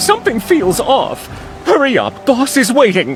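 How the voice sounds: Doing a cartoonish character voice, a man talks at an extremely high pitch with very wide pitch swings and a fairly slow pace, faint music playing in the background.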